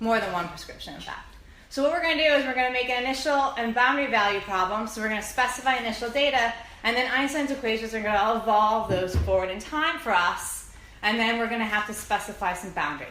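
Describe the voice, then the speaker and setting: A woman with a fairly high pitch speaks at a very fast pace. Background noise is noticeable, and the room echo is audible. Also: ordinary pitch variation. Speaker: physics lecturer. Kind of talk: lecture.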